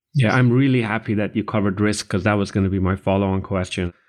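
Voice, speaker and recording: A man's fairly low voice, a plain, everyday voice with ordinary pitch variation, on a very clean recording with a silent background. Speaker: podcast co-host, consulting partner. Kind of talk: interview.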